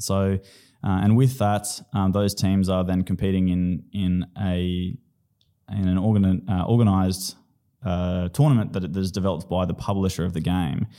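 A man's very deep, low voice with a dark, mellow tone and an Australian accent, at a moderate pace with fairly even intonation, in a very clean recording with a silent background. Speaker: PhD researcher and esports program co-founder. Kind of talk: interview. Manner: hesitant, many fillers.

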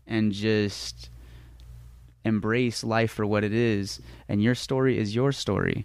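Long, frequent pauses break up the very slow speech of a man with a General American accent. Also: fairly low pitch for a man, very even loudness. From US West, Las Vegas. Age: 20s. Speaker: dancer. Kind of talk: casual chat. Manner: animated.

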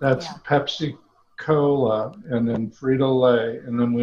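With an American accent, a man speaks in a somewhat breathy voice with fairly even intonation. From US Midwest, Omaha, Nebraska. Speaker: former business executive. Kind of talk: casual interview.

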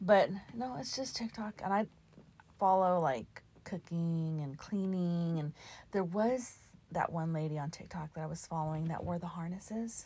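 A somewhat breathy voice with a dark, mellow tone. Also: woman. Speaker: podcast co-host, mother. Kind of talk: show outro; casual chat.

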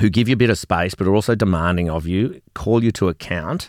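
In an Australian accent, a man speaks at a moderate pace. His pitch is fairly low, with ordinary variation. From Australia, Melbourne. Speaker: business founder. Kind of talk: casual chat. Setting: studio. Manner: animated.

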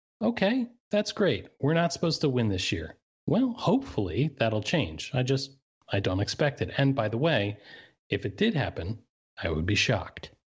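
A man with an American accent, medium in pitch, with very wide pitch swings and vocal fry at a moderate pace. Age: 30s. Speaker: baseball blogger. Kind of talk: casual podcast interview.

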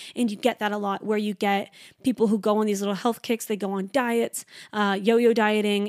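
A woman with a fairly high pitch speaks in an animated tone. The recording is very clean and dry, close, with a silent background and no echo. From Canada. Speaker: podcast host and trainee Pilates instructor. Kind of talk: casual solo chat. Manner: fast talker; animated, chatty.

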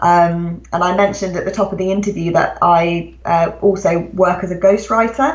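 A woman with a British accent speaks at a medium pitch and a moderate pace, with ordinary pitch variation and hardly any pauses. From England. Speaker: author. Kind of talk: interview. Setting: home, remote call.

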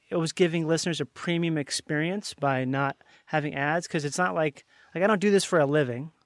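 A man talks in a normal speaking voice with a fairly high pitch and ordinary pitch variation. The sound is dry and close, with no echo. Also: quiet background. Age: 30s. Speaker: podcast host. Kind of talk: casual chat.

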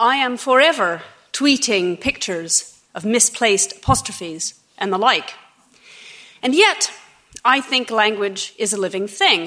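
At a fairly slow pace with long, frequent pauses, a woman with an American accent speaks in a fairly high pitch and a bright, sharp tone. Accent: American, rhotic. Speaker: debate moderator. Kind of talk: debate moderation. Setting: stage with audience.

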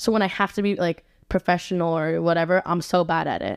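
On a very clean recording with a silent background and a dry, close sound with no echo, a woman with an American accent speaks at a fairly low pitch. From Rome, Italy. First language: English (Italian learned at seven). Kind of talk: casual chat.

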